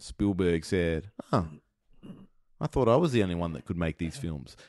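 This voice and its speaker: A man with an Australian accent and a very deep, low pitch, his intonation lively, in a dry, close sound with no echo and a quiet background. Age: 40s. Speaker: podcast host. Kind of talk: casual chat.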